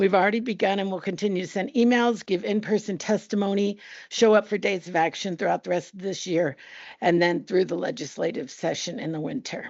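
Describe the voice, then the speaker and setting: Here a woman speaks at a fairly quick pace. Her pitch is medium, with ordinary pitch variation. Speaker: teachers union representative. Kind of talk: board meeting report. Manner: fast.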